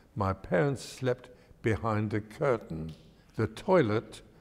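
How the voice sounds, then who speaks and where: A man with an East London accent talks at a very slow pace in a fairly low pitch, his intonation lively. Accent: London English, older East End. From East End of London. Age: 90s. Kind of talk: oral history interview. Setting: synagogue.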